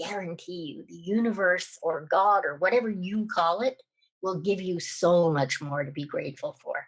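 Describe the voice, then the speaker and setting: A woman talks at a moderate pace with a medium pitch. Her pitch variation is ordinary. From Canada. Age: 60s. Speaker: podcast guest. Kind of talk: testimony. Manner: animated.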